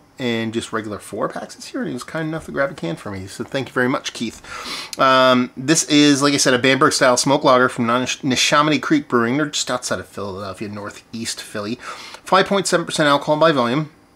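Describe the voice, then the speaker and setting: A man at a fairly quick pace, hardly any pauses, big swings in loudness and ordinary pitch variation. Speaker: beer reviewer. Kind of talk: casual vlog chat. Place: home room. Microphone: phone near.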